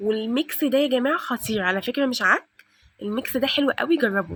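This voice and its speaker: A woman with a high pitch speaks fairly quickly and with lively intonation, the sound dry and close with no echo. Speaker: home cooking and cleaning vlogger. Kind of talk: cooking tutorial. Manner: loud; fast.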